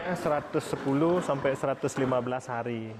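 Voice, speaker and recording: The man talks at a fairly quick pace. Noticeable background noise can be heard. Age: 30s. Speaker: veterinarian and pig farmer. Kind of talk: interview.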